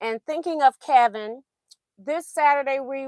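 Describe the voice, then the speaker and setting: A woman with a high voice speaks at a fairly slow pace, her pitch varying in an ordinary way. The recording is very clean with a silent background, and the sound is dry and close with no echo. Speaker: quilting livestream host. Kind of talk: casual livestream chat. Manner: hesitant, with fillers.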